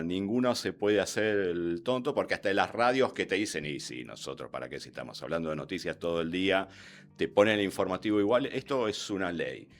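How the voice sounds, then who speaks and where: A man's fairly low voice at a fairly quick pace. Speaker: radio newsreader and announcer. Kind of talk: interview.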